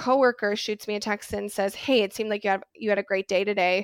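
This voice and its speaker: A woman speaks in a plain, everyday voice at a medium pitch, with fairly even intonation and a dry, close sound with no echo. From Wisconsin, US Midwest. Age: 20s. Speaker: mental health counselor. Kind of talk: casual interview chat. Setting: remote call.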